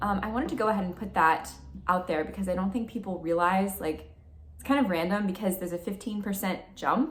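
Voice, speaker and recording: A woman speaks at a fairly quick pace in a medium pitch. Audible room echo and noticeable background noise accompany her. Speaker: beauty and spiritual vlogger. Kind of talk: casual vlog talk.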